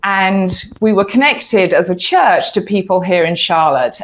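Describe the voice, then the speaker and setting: A woman with an American accent, a fairly low pitch and a moderate pace, in a very clean recording with a silent background. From southern England. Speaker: church planter, author and speaker. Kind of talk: interview.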